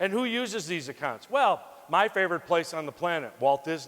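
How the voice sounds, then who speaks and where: This man talks at a fairly quick pace with an American accent. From Wisconsin, US Midwest. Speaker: motivational speaker on life insurance sales. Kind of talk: keynote speech to audience. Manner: fast; animated.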